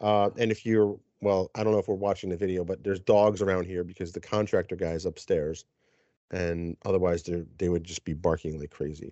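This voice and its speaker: At a fairly quick pace, a man with an American accent speaks in a very deep, low pitch. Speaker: podcast host. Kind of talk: casual chat.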